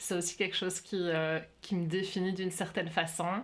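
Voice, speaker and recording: A woman speaks at a fairly low pitch in a monotone, flat intonation. Her pace is fairly slow. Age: 40s. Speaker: workshop facilitator. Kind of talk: interview conversation. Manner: hesitant, many fillers.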